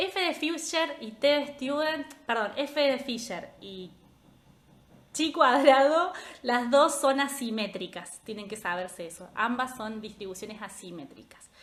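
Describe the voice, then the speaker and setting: Speaking fairly slowly with a Rioplatense accent, a woman with a high voice sweeps through very wide pitch swings and big swings in loudness. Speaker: statistics tutor. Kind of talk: live review class. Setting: Instagram livestream. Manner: casual, chatty.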